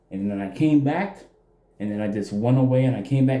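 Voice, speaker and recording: The voice has a dark, mellow tone and lively intonation, moving at a fairly quick pace. Audible room echo surrounds it. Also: man. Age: 20s. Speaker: gaming youtuber. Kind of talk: casual game review.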